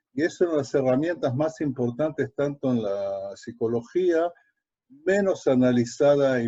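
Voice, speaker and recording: A man's medium-pitched voice, dark and mellow in tone, at a fairly slow pace with ordinary pitch variation. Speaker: lecturer, educator. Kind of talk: online lecture. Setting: live online webinar. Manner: halting, many fillers.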